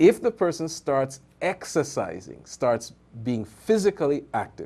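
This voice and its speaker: Slow-ish and dark, mellow in tone, this voice carries very wide pitch swings and vocal fry. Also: man, fairly high pitch for a man. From Trinidad and Tobago. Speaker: physician. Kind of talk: radio health interview.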